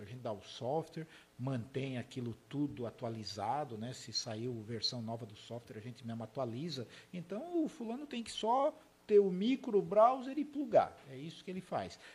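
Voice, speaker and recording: Speaking at a moderate pace, a man with a fairly high, somewhat breathy voice makes very wide pitch swings. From southern Santa Catarina, Brazil (Urussanga); Blumenau from age 14. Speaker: software company founder and CEO. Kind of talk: interview conversation.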